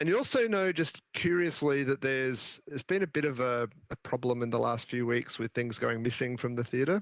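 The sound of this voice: A man speaks at a fairly quick pace with vocal fry. His pitch sits in the medium range.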